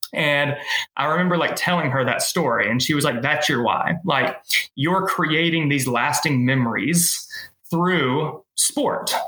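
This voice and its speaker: In a normal speaking voice at a fairly slow pace, the speaker keeps loudness very even with ordinary pitch variation. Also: man, fairly high pitch for a man. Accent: American. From Middle Tennessee, US South. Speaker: race director and event business owner. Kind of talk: casual interview.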